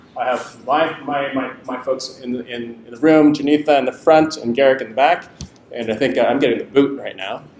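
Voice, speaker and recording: Over noticeable background noise, a man talks at a fairly quick pace with fairly even intonation and big swings in loudness. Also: fairly high pitch for a man. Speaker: health technology lab representative. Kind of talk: pitch presentation. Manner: fast; halting, many repetitions.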